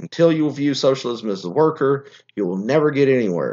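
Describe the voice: The tone is slightly mellow and the pace fairly quick. Intonation stays lively. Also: man, medium pitch for a man.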